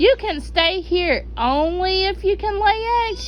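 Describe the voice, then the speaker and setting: With clear music behind it, a put-on character voice talks at a fairly slow pace. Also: woman, extremely high pitch for a woman. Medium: read story.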